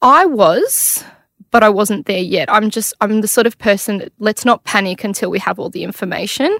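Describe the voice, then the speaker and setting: A woman talks at a moderate pace with a fairly high pitch and ordinary pitch variation. The sound is dry and close, with no echo. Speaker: mother of a child with cancer. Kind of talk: personal testimony in interview. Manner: chatty.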